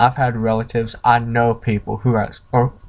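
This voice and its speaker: A man speaks with a Southern accent. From US South. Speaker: vlogger. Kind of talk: opinion rant vlog.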